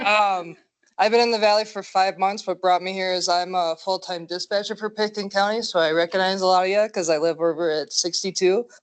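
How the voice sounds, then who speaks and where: In a strong Minnesotan accent, a woman at medium pitch talks at a fairly quick pace over a quiet background. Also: fairly even intonation. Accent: thick Minnesota. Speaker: dispatcher, volunteer applicant. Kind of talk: self-introduction at meeting. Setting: meeting room with audience.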